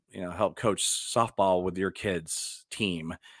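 With a Texan accent and a bright, sharp tone, a man speaks at a fairly slow pace. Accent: Texan American. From Dallas, Texas. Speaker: podcast host and actor. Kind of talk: casual solo podcast talk.

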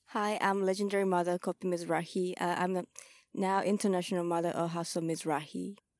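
A woman's fairly low voice in a Japanese accent, fairly quick, monotone and flat, at very even loudness, on a very clean recording with a silent background. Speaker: ballroom house mother and vogue dancer. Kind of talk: casual interview. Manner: halting.

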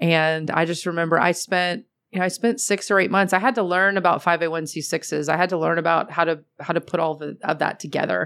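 In an ordinary speaking voice, a woman with a fairly low pitch talks at a fairly quick pace with fairly even intonation. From Atlanta, US South. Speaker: commercial real estate executive. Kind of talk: interview.

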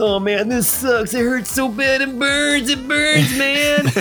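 Clear background noise surrounds a man doing a put-on character voice. He pitches it extremely high and speaks at a very slow pace. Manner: pained, whiny.

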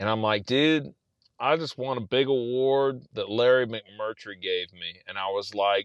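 Speaking in a South Texas accent at a fairly slow pace, a man with a fairly low pitch and ordinary pitch variation comes through with a dry, close sound with no echo against a quiet background. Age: 40s. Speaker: novelist. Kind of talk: casual chat.

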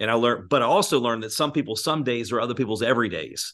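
A man's unremarkable speaking voice with an American accent, medium pitch and ordinary pitch variation against a quiet background. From Virginia, US. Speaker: business mentor and speaker. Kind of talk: interview.

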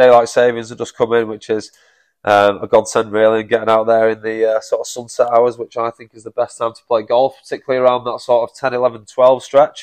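A man's fairly quick, monotone, flat delivery with big swings in loudness, dry and close with no echo, over a quiet background. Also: medium pitch for a man. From Manchester, England. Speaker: golf operations director. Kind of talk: casual chat.

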